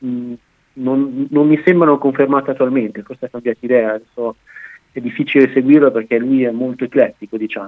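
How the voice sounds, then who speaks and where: A man talks at a fairly quick pace with a normal speaking voice. His pitch is medium and his intonation fairly even. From Italy, Bologna. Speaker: commentator on French politics and unions. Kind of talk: radio interview.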